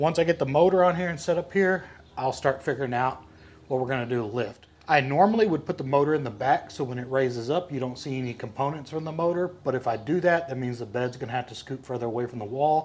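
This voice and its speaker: A man with an American accent talks at a very fast pace. His voice is somewhat breathy and fairly high in pitch. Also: ordinary pitch variation. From Texas. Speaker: furniture maker. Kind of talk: DIY tutorial. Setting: workshop. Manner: casual.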